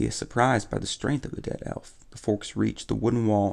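Reading aloud in a plain manner

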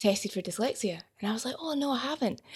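A woman talking at a very fast pace. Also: very clean recording, silent background. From Livingston, Scotland. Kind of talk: casual chat.

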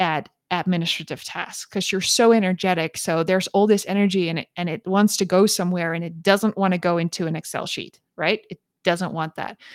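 Speaking at a fairly quick pace, a woman of medium pitch keeps her intonation fairly even, the sound dry and close with no echo on a very clean recording with a silent background. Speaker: career coach, podcast host. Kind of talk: casual solo talk, live-streamed. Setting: live stream on social media. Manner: unscripted, conversational.

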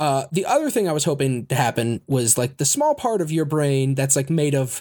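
In an ordinary speaking voice, a man talks at a fairly quick pace with fairly high pitch and lively intonation, captured on a very clean recording with a silent background. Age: 30s. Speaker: podcast host. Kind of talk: casual chat. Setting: home recording at computer microphone.

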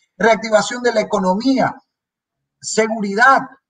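This man's voice is high, and he talks at a fairly slow pace. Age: 30s. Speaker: legislator. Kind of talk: political interview.

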